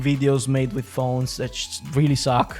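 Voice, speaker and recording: A man speaks at a medium pitch and a fairly slow pace. Music plays in the background. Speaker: podcast host. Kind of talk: casual podcast talk about fighting games. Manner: rambling, hesitant.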